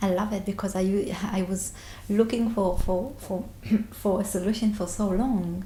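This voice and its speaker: A woman with a non-native accent speaks at a moderate pace and a medium pitch in a monotone, flat intonation, with audible room echo and noticeable background noise. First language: not English. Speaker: therapy client. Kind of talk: interview about personal experience. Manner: halting.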